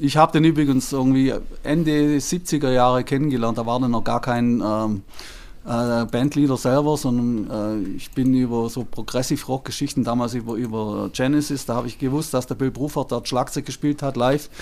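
In an unremarkable speaking voice, a man talks at a moderate pace with a medium pitch and fairly even intonation. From southern Germany, Lake Constance. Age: 60s. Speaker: music transcriber. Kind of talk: interview.

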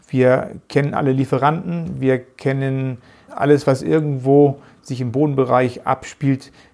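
Words come at a fairly slow pace in a northern German accent. The tone is dark and mellow, the intonation fairly even. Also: man, medium pitch for a man. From northern Germany, Geesthacht near Hamburg. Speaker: managing director of a flooring company. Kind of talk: interview.

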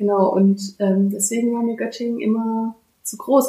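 A woman talks with fairly even intonation at medium pitch. Hers is an unremarkable speaking voice. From Baden-Württemberg, Germany (Bad Mergentheim, Fellbach). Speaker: regional development worker. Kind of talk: interview.

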